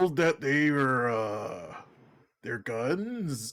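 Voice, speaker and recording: Put-on character voice from a man, pitched fairly high. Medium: actual play. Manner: pompous, simple-minded.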